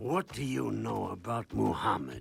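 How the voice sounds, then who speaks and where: Putting on a raspy, cartoonish character voice, a man talks at a fairly slow pace at a very deep, low pitch. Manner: stern, menacing.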